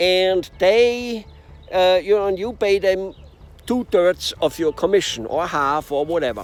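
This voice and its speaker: In a high voice with lively intonation, a man speaks at a fairly slow pace. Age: 60s. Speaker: business coach. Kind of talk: video monologue. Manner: halting, many fillers.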